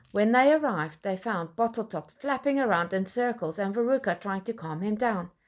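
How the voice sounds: Lively intonation in a natural reading voice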